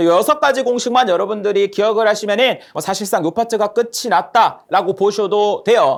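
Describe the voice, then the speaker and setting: The man's voice is high in pitch. He speaks at a fairly quick pace with lively intonation. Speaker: lecturer. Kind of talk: lecture.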